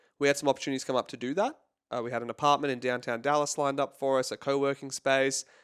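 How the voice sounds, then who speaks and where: This man speaks very fast in a fairly high voice with an American accent and flat, monotone intonation. The recording is very clean and dry, close with no echo, over a silent background. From California. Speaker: happiness coach. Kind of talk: podcast interview.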